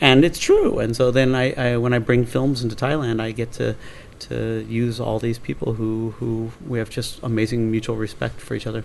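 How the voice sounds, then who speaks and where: Monotone, flat intonation marks this man's speech. His pitch is medium and his pace moderate. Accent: Pacific Northwest. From Portland, Oregon. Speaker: film producer. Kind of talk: interview answer.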